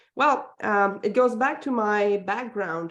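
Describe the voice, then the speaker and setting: Speaking in a Quebec accent, this voice moves at a fairly slow pace with ordinary pitch variation. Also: woman. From Quebec, Montreal. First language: French. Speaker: parenting coach. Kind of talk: interview. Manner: hesitant, many fillers.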